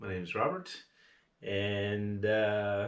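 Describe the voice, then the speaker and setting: Audible room echo surrounds a man as he speaks. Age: 60s. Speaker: outdoor vlogger. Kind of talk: casual vlog talk. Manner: hesitant, many fillers.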